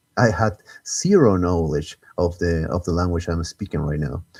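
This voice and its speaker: A man with a Spanish accent, a very deep, low pitch and a dark, mellow tone, at a moderate pace. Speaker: gaming streamer. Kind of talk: live stream gameplay commentary. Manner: halting, frequent self-repetitions.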